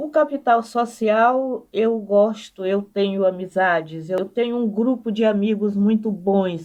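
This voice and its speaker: At a very slow pace with hardly any pauses, a woman with a fairly high voice speaks in a dark, mellow tone with ordinary pitch variation. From Maranhão, northeastern Brazil (Codó). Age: 80s+. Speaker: anthropologist. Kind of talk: interview.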